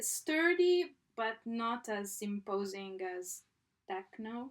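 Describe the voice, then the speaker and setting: A woman's fairly high voice at a very slow pace. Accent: non-native. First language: not English. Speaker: artist. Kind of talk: casual chat. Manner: halting.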